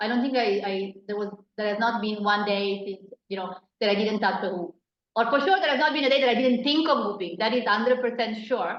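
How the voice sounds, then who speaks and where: A woman's voice at a fairly quick pace with ordinary pitch variation. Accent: Italian. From Italy. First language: Italian. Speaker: hula hoop artist. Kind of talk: interview. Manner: hesitant, many fillers.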